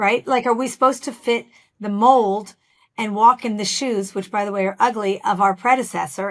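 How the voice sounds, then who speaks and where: On a very clean recording with a silent background, a woman with a normal speaking voice and fairly high pitch talks at a fairly quick pace with fairly even intonation. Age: 60s. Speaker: business founder and CEO. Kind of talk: interview.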